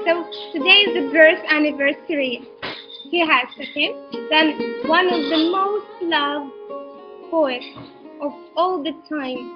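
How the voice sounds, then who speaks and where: Over clear background music, a woman with a high pitch and ordinary pitch variation talks at a fairly slow pace with long, frequent pauses. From Ukraine. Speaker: teacher. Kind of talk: online class presentation to students. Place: home room. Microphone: webcam.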